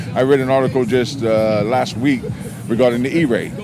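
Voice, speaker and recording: Fairly even intonation comes through audible room echo, with music in the background. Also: man. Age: 60s. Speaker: car owner, military veteran. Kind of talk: casual interview.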